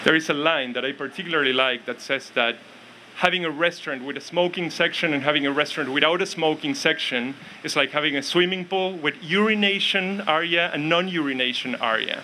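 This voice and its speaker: Noticeable background noise sits under a man talking at a fairly quick pace. His pitch is fairly high, with ordinary variation. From Argentina. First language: Spanish. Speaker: academic speaker on ethics and politics. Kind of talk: public speech.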